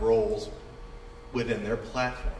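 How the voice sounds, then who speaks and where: A fairly quick pace amid audible room echo and noticeable background noise. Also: man. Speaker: conference group presenter. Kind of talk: conference presentation. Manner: fast.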